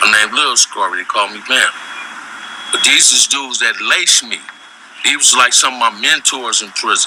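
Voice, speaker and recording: A man talks at a moderate speed, stopping often for long pauses, while noticeable background noise carries on behind him. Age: 60s. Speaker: former gang member and ex-prisoner. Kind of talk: interview storytelling.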